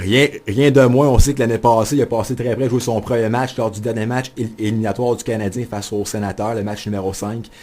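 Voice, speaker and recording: Speaking fairly quickly, this man holds a medium pitch. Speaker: sports journalist and radio columnist. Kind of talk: radio studio interview answer about his new hockey column. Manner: enthusiastic, fast-paced.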